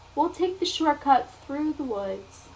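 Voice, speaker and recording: This woman puts on a character voice with a high pitch. She talks at a fairly slow pace over clear background noise. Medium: read story.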